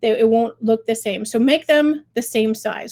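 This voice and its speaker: A woman with a fairly high pitch talks at a fairly quick pace in an ordinary speaking voice, her pitch varying in an ordinary way. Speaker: fundraising software client experience director. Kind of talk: tutorial webinar.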